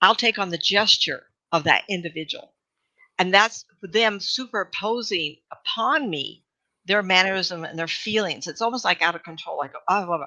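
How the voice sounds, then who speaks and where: Bright and sharp in tone, a woman speaks at medium pitch and a moderate pace with ordinary pitch variation and big swings in loudness, in a very clean recording with a silent background. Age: 70s. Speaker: psychic medium. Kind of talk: casual chat. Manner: halting.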